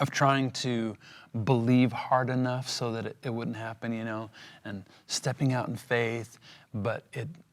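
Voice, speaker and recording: At a fairly slow pace, a man speaks with a medium pitch and a monotone, flat intonation. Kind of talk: interview testimony. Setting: podcast. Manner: halting.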